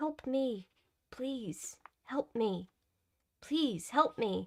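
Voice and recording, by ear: The speaker uses a put-on character voice. It unfolds at a very slow pace. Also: female-sounding voice, high pitch for a woman.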